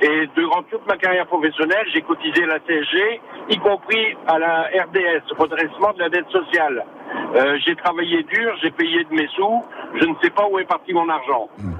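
Noticeable background noise sits behind a man speaking at a high pitch. He keeps a moderate pace with ordinary pitch variation. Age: 60s. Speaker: radio caller, retired civil servant. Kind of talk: call-in comment.

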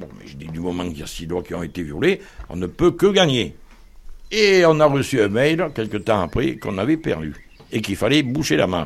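The voice has vocal fry, very wide pitch swings and big swings in loudness. It moves at a moderate pace. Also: man, fairly low pitch for a man. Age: 60s. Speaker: homeowner in legal dispute. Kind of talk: interview testimony.

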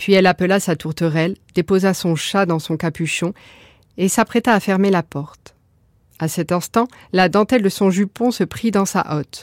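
The woman's medium-pitched voice has a dry, close sound with no echo. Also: ordinary pitch variation, very clean recording, silent background. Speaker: storyteller. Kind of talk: bedtime story telling, fairy-tale narration. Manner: soft, gentle, lilting storyteller's cadence; slow, hushed, dramatic, expressive.

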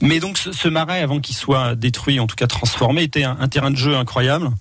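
At a fairly quick pace, a man talks in a medium pitch with ordinary pitch variation. Noticeable background noise is present. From France, Loiret then Brittany (Morbihan). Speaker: wildlife photographer. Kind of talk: radio interview. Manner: halting, many repetitions.

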